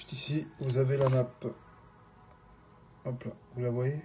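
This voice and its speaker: Somewhat breathy, with a dark, mellow tone, a man speaks at a fairly slow pace and a medium pitch. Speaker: phone repair technician. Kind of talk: tutorial. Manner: hesitant, many fillers.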